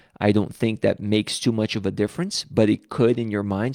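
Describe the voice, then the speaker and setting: A man with a Brazilian accent speaks at a moderate pace in a fairly low voice with ordinary pitch variation, recorded dry and close with no echo in a very clean recording against a silent background. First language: Portuguese. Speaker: pastor. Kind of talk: live stream Bible study talk. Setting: live stream.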